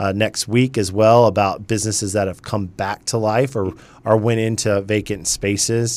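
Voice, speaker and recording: American-accented man with an ordinary speaking voice, fairly low in pitch, at a moderate pace with fairly even intonation. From US South, Charleston, South Carolina. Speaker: chamber of commerce president. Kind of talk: radio interview. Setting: radio studio.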